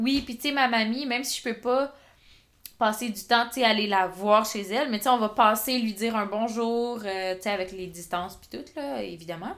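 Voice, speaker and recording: A woman's animated voice at a moderate pace, with ordinary pitch variation and big swings in loudness. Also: fairly high pitch for a woman. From rural Quebec. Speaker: podcast co-host. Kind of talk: casual chat.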